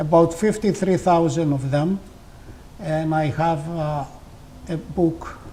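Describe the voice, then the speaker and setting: This man speaks in a high pitch with a Greek accent. His speech has long, frequent pauses. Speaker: community leader and folk poet. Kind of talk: interview. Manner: halting, many fillers.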